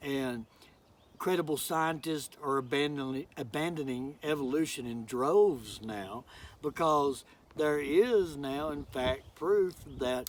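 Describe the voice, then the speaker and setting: On a very clean recording with a silent background, a man speaks very slowly at a fairly high pitch with ordinary pitch variation. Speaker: preacher, sermon giver. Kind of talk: sermon delivered to a congregation, casual preaching style. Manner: conversational, with hesitations and fillers.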